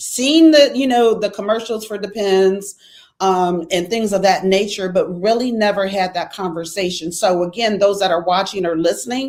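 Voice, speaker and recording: Here a woman uses an ordinary speaking voice at medium pitch and a moderate pace with ordinary pitch variation. The recording is very clean with a silent background. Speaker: podcast host. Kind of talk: casual conversational interview talk.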